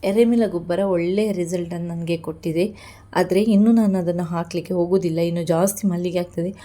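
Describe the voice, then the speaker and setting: Very clean and set against a silent background, the recording captures a woman with a fairly low pitch, a dark, mellow tone and monotone, flat intonation. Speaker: jasmine grower and vlogger. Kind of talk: tutorial vlog.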